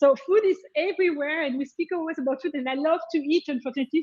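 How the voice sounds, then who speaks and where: A woman speaks with a French accent at a fairly quick pace. Her pitch moves an ordinary amount. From France. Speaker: tech sales executive. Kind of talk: interview.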